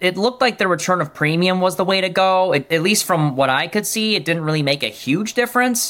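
A man with an American accent talks at a fairly quick pace with hardly any pauses. His high pitch has a bright, sharp tone, ordinary pitch variation, and very even loudness. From Michigan. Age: 30s. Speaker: insurance agent. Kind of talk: interview.

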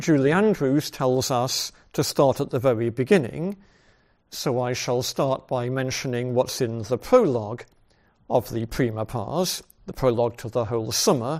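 Here is a man with a plain, everyday voice at medium pitch. He shows ordinary pitch variation and a moderate pace. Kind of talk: lecture. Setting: video call.

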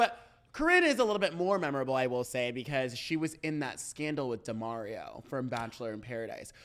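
A woman speaks at a very fast pace with a very deep, low pitch. Her intonation is lively. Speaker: podcast co-host. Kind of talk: casual chat. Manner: fast talker.

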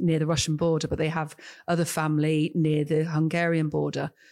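The speaker uses a southern English accent with monotone, flat intonation. The recording is very clean, with a silent background. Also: woman. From southern England. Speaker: tech business consultant and advocate for women in tech. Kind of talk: podcast interview.

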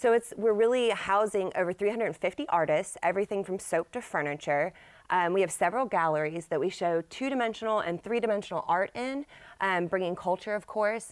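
Over a very clean recording with a silent background, a woman with an American accent talks at a fairly quick pace. She has an ordinary speaking voice, medium in pitch, with ordinary pitch variation. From Texas, Dallas area. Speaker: business owner. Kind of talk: casual interview.

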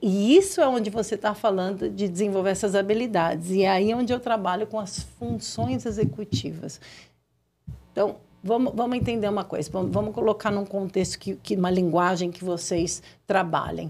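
With vocal fry in her voice, a woman talks at a medium pitch. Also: ordinary pitch variation, moderate pace. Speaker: developmental consultant and neuropsychopedagogue. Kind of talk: casual interview. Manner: halting.

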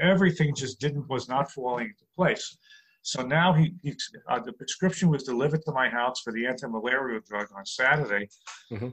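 A man with a New York accent at a fairly quick pace, medium pitch, ordinary pitch variation and big swings in loudness. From New York City. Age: 60s. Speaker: comedian. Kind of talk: interview.

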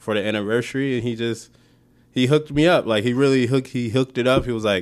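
A man with a plain, everyday voice speaks at a fairly quick pace in a medium pitch. His intonation is fairly even, and the recording is very clean with a silent background. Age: 20s. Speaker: comic book creator and filmmaker. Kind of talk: casual interview.

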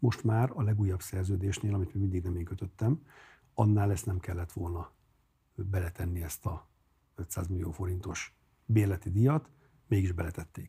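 In a very clean recording with a silent background, a man with a very deep, low pitch and a dark, mellow, somewhat breathy tone speaks at a moderate pace, using ordinary pitch variation and long, frequent pauses. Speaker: mayor and cardiologist. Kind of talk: political interview. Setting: studio.

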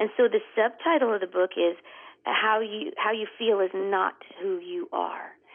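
This woman has an unremarkable speaking voice with a fairly high pitch. She keeps a moderate pace and lively intonation. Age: 50s. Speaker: author and speaker. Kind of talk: interview.

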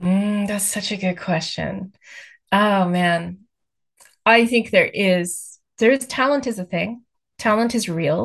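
A woman with an American accent speaks at a very slow pace with long, frequent pauses, her somewhat breathy voice sitting at a medium pitch with ordinary pitch variation against a quiet background. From US, Texas. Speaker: author. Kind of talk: interview.

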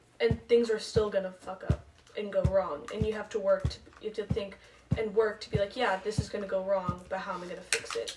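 Over noticeable background noise, a woman speaks at a fairly quick pace and medium pitch, with fairly even intonation and big swings in loudness. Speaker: podcast co-host. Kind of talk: casual chat among friends.

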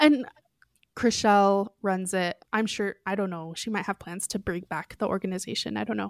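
With an American accent and a plain, everyday voice, a woman speaks at a medium pitch and moderate pace, with ordinary pitch variation in a dry, close sound with no echo. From US West, Oregon. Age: 30s. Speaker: podcast guest sharing recovery story. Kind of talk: testimony.

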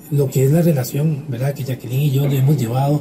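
A fairly high-pitched man amid noticeable background noise. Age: 30s. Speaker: podcast co-host. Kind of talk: casual chat. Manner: halting.

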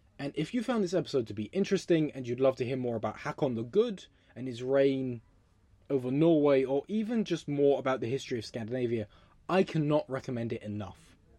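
The pace is very fast. The speaker has a southern English accent. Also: quiet background. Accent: English (southern England). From England. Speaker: history podcast host. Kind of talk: solo storytelling podcast. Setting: home recording, windows closed. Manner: animated.

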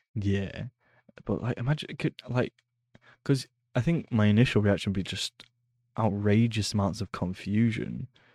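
A man speaks at a moderate pace with ordinary pitch variation and long, frequent pauses. The sound is dry and close with no echo, on a very clean recording with a silent background. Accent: Lancashire. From northern England, Preston. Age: 20s. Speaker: podcast host. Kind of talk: casual chat. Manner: halting.

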